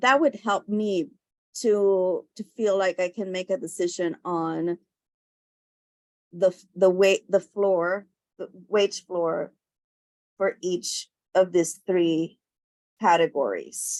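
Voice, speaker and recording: A woman at medium pitch with ordinary pitch variation, speaking very slowly with long, frequent pauses. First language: not English. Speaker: commission member. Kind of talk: public meeting discussion. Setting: video call. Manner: halting.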